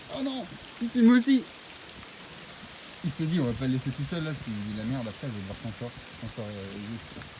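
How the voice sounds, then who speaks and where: A man speaks at a moderate pace, his loudness swinging widely, with long, frequent pauses. Noticeable background noise runs behind him. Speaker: climber. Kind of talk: casual chat. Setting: outdoors.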